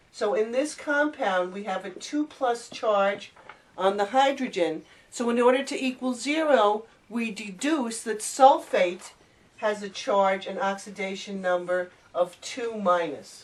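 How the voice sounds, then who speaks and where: Using a plain, everyday voice, a woman speaks at a fairly slow pace with a fairly high pitch and lively intonation. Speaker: chemistry teacher. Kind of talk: tutorial.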